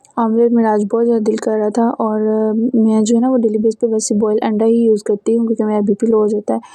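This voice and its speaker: The woman's pitch is fairly high, and her pace is moderate. Her intonation is monotone and flat. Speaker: lifestyle and cooking vlogger. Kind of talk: vlog voice-over narration. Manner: hesitant, many fillers.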